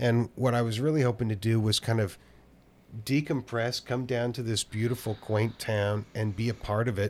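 Recorded very cleanly against a silent background, a man with an American accent talks at a moderate pace and medium pitch in a plain, everyday voice. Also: fairly even intonation. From Oakland, California. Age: 50s. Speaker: drummer and music teacher. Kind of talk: casual chat.

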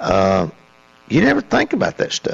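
A man talks with a Tennessee accent. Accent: Southern US (Tennessee). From Middle Tennessee, US South. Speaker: college basketball coach. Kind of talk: radio interview. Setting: studio.

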